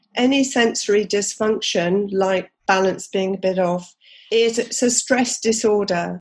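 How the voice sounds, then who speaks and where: Speaking with a British accent, a woman with a fairly high voice talks at a fairly slow pace with ordinary pitch variation. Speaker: craniosacral therapist and teacher. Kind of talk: interview answer.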